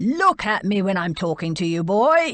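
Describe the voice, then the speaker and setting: A woman bellowing in a put-on character voice, medium in pitch with very wide pitch swings, at a moderate pace. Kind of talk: stern, commanding. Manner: scary, roaring.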